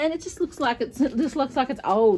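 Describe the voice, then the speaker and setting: At a fairly quick pace, a woman with an Australian accent speaks in a high pitch with a dark, mellow tone. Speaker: home gardener vlogger. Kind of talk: casual vlog. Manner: fast.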